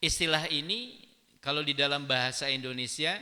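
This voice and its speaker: Using a bright, sharp tone, a man speaks at a fairly high pitch and fairly quick pace with ordinary pitch variation. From West Java (Sundanese). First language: Sundanese (speaking Indonesian). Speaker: Islamic preacher. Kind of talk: religious lecture. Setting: mosque.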